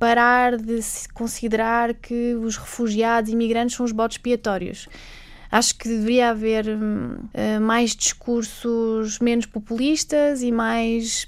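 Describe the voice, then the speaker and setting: Very slow delivery in a flat, monotone intonation. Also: woman, fairly high pitch for a woman. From Macau. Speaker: infectious disease doctor, humanitarian worker. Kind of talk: radio interview.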